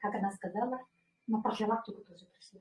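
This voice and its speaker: At a moderate pace, a woman speaks with a fairly high, somewhat breathy voice. Her pitch varies in an ordinary way. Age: 60s. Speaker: former pediatrician, wellness product distributor. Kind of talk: product presentation testimony. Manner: hesitant, many fillers.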